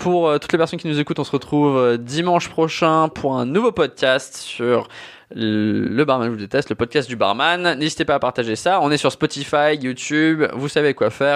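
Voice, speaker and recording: A man's fairly high-pitched, ordinary speaking voice at a moderate pace, with ordinary pitch variation and a quiet background. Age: 20s. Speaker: podcast host, bartender. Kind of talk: casual chat.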